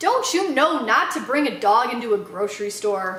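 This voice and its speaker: A woman's put-on character voice, high-pitched with very wide pitch swings, at a moderate pace with a slight echo. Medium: read story. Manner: agitated, exasperated.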